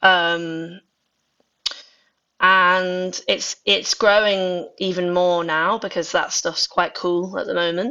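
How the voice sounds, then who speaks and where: A woman's very slow, fairly even speech at a medium pitch, in a Manx accent. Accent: soft Scouse-like Manx. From Isle of Man. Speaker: indie musician. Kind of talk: casual interview chat. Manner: chatty, many fillers.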